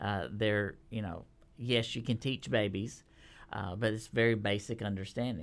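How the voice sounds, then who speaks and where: A man with a Texan accent and a fairly low pitch. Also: ordinary pitch variation, moderate pace, very clean recording, silent background. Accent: Texan Southern US. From Texas. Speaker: children's curriculum publishing manager. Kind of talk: casual interview.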